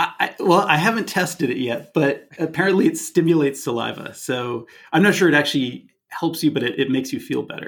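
In a plain, everyday voice, a man with a Canadian accent and a fairly high pitch talks at a fairly quick pace with hardly any pauses and ordinary pitch variation. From Canada. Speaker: film director. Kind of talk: casual chat.

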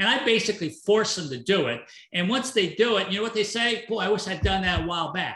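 A raised, projected voice with a bright, sharp tone, lively intonation and a very fast pace. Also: man, high pitch for a man. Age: 60s. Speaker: entrepreneur and business coach. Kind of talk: casual interview.

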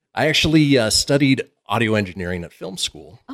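A man talks with vocal fry. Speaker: radio host, podcast producer and engineer. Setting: podcast studio.

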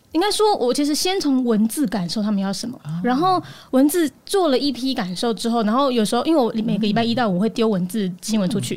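Talking at a very fast pace with hardly any pauses, a woman uses a fairly high pitch that moves in very wide swings. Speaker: news podcaster. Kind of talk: casual chat.

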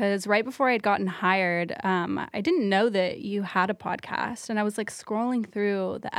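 This woman has an American accent and a medium pitch, with ordinary variation in her pitch. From Texas, North Dallas. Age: 20s. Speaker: salon employee, aspiring esthetician. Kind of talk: casual chat.

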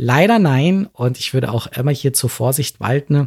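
A somewhat breathy voice with a dark, mellow tone moves at a moderate pace with ordinary pitch variation. The recording is very clean, with a silent background and a dry, close sound with no echo. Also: man. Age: 40s. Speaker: LGBTIQ+ advocate and company founder. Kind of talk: interview.

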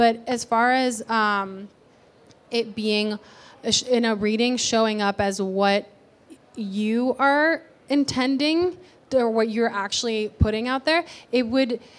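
A woman with a Spanish accent talks in a fairly high voice. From Puerto Rico, then Ohio. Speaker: aura photographer and reader. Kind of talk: class talk to a live audience. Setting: shop with live audience.

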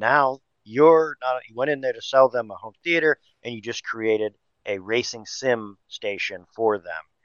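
Speaking at a moderate pace in a normal speaking voice, a man holds a medium pitch with ordinary pitch variation and big swings in loudness. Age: 50s. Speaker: technology distributor manager. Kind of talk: podcast interview.

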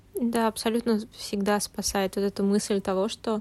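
In a dry, close sound with no echo, a woman speaks fairly slowly at a medium pitch in a monotone, flat intonation. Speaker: podcast host. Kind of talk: casual chat.

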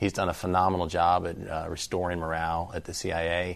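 A man is talking. His pitch is very deep and low. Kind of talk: news interview.

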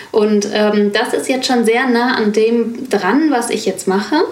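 Speaking at a moderate pace with fairly even intonation, a woman with a fairly high pitch is heard amid audible room echo and noticeable background noise. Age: 40s. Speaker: business mentor. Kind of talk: interview conversation.

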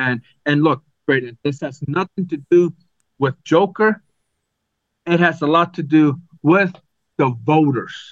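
Speaking with an American accent, a man with a fairly high voice moves at a fairly slow pace with long, frequent pauses and ordinary pitch variation, the sound dry and close with no echo. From Arizona. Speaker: sports podcast co-host. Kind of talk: casual chat. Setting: video call.

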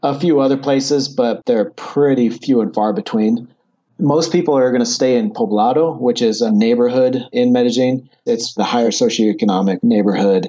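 In an American accent, an ordinary speaking voice moves at a moderate pace with ordinary pitch variation and very even loudness. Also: man, medium pitch for a man. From United States. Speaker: personal finance youtuber, expat. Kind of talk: casual interview.

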